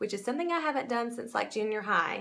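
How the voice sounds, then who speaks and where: A woman's fairly high, bright, sharp voice with a Southern US accent. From US South. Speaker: makeup seller and beauty vlogger; makeup seller, beauty vlogger. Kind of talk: makeup tutorial. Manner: casual, chatty. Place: home room. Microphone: phone near.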